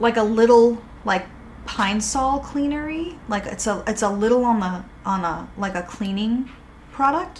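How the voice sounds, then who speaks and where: A woman with an American accent sounds animated, her fairly high pitch and lively intonation heard through audible room echo and noticeable background noise. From Boston, New England. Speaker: candle maker and YouTuber. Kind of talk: casual product review.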